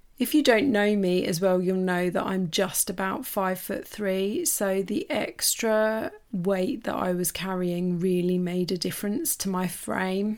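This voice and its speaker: A warm-toned woman with an English accent at a fairly slow pace, with hardly any pauses, on a very clean recording with a silent background. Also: medium pitch for a woman, ordinary pitch variation. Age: 40s. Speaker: podcast host and life coach. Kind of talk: personal storytelling monologue. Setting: home office. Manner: warm, casual.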